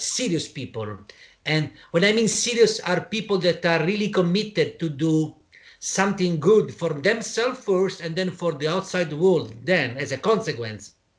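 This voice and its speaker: With an Italian accent, a man speaks at a moderate pace in a high voice with lively intonation against a quiet background. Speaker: interviewer, program organizer. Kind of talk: interview conversation. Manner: halting, many false starts.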